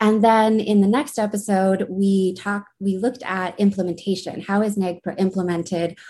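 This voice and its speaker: A woman with an American accent speaks at medium pitch in a dark, mellow, somewhat breathy tone, with fairly even intonation and hardly any pauses, over a quiet background. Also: moderate pace. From Uintah and Ouray Reservation, Utah (Northern Ute). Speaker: graduate student, podcast co-host. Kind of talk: panel discussion.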